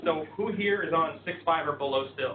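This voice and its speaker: Noticeable background noise runs through the clip, and room echo can be heard. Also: man. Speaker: IT consultant presenting at a user group. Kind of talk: technical presentation. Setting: conference room with live audience. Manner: casual with frequent ums.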